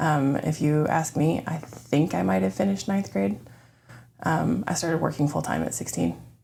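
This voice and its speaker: A woman with an American accent speaks at a moderate pace in a very deep, low voice with vocal fry and a dark, mellow tone. Her pitch swings very widely. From Florida, Orlando. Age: 40s. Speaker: church member sharing her story. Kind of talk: testimony interview. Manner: hesitant, many ums.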